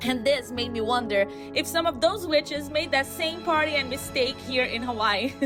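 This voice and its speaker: A woman in a Portuguese accent with music in the background. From Brazil. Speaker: travel vlogger. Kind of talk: travel vlog narration, folklore storytelling.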